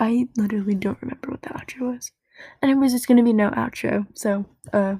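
In a dry, close recording with no echo, a woman with a dark, mellow, somewhat breathy tone speaks at a very fast pace with fairly even intonation. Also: fairly high pitch for a woman. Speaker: podcast host. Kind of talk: casual chat. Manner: casual, filler-heavy.

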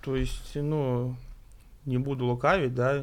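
Here a man talks in a medium pitch with fairly even intonation. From Russia, Tver. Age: 30s. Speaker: amateur football referee and player. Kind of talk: casual chat.

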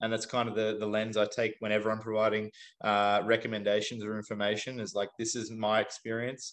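A man's fairly low, monotone voice with flat intonation and a fairly quick pace, against a quiet background. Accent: Australian. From Australia. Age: 30s. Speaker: CrossFit athlete and fitness coach. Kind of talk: casual interview chat.

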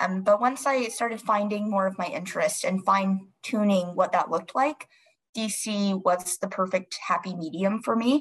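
A woman's medium-pitched, somewhat breathy voice with an American accent, at a moderate pace with ordinary pitch variation. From North Carolina, US South. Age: 20s. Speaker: public relations consultant. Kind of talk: interview.

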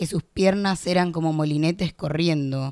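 The speaker talks at a fairly slow pace with fairly even intonation, in a Rioplatense accent. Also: woman. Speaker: poet and law student. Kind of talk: spoken word poetry reading, narrative verse. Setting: radio studio. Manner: vivid, rhythmic, expressive storytelling.

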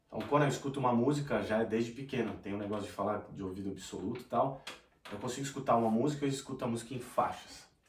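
A man at a very fast pace with fairly even intonation, with audible room echo and noticeable background noise. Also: medium pitch for a man. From Brazil, São Paulo city. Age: 30s. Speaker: sertanejo singer. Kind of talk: casual chat.

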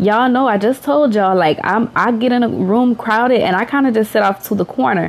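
A woman talks at a fairly quick pace with hardly any pauses. Her pitch is fairly high, with ordinary variation and very even loudness. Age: 30s. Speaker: podcast host, mother. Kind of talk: casual monologue. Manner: animated.

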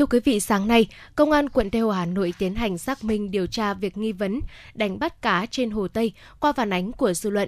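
Over a very clean recording with a silent background, a woman uses a normal speaking voice with a fairly high pitch, ordinary pitch variation and a moderate pace. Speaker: radio presenter. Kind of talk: news reading. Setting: studio. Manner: formal.

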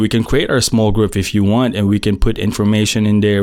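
Here a man speaks with a Filipino accent. His pitch is fairly low and his pace moderate. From Philippines. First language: Tagalog. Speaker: podcast host, IT technician. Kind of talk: casual monologue. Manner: animated.

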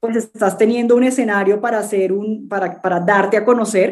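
The woman has an ordinary speaking voice. Her pace is moderate and her pitch variation is ordinary. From Colombia, Cartagena. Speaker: startup founder and CEO. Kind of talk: interview.

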